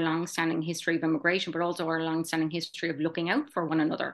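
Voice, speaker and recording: At a very fast pace, a woman with a strong Kerry accent speaks in a fairly low voice. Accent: strong Kerry Irish. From Ireland, County Kerry (Tralee). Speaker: charity president and gallery manager. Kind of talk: casual chat. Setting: video call.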